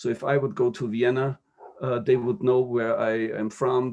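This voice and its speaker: Speaking at a fairly slow pace, a man has a German accent. His pitch sits in the medium range. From Austria, Upper Austria. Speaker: diplomat. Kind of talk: interview. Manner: halting, many fillers and repetitions.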